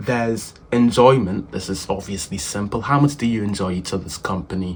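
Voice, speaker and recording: At a moderate pace, a man talks in a plain, everyday voice, medium in pitch with ordinary pitch variation. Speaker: self-improvement youtuber. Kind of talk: casual advice talk.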